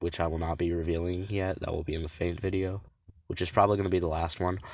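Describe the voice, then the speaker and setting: Very deep and low, this man's voice has ordinary pitch variation. The recording is very clean, with a silent background. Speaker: fan-fiction creator explaining own characters. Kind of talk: casual unscripted explanation. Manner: halting, stuttering with many fillers.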